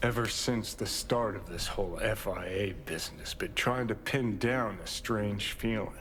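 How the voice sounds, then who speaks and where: Over clear background noise, a man uses a gruff, put-on character voice at medium pitch, moving at a moderate pace with hardly any pauses. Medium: video game. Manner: gruff, profane, clipped.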